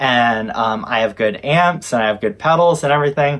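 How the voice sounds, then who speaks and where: Lively intonation in a man's speech. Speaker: recording studio engineer. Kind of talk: casual video talk to camera. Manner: loud; hesitant, many fillers.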